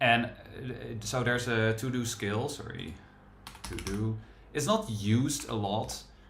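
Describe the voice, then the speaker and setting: A man with a strong Dutch accent talks at a fairly slow pace with fairly even intonation and long, frequent pauses, amid audible room echo and noticeable background noise. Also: medium pitch for a man. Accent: thick Dutch. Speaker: software developer and livestream host. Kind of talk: casual live coding chat.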